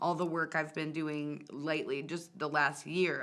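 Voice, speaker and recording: Bright and sharp in tone, a woman's very deep, low voice moves at a fairly slow pace with fairly even intonation. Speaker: music show host and singer. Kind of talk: casual interview conversation. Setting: TV studio. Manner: loud.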